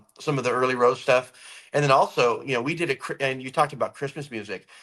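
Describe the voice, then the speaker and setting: Loud and very fast, a man talks at a medium pitch with ordinary pitch variation and a bright, sharp tone. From California. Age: 50s. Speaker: rock musician. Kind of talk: interview.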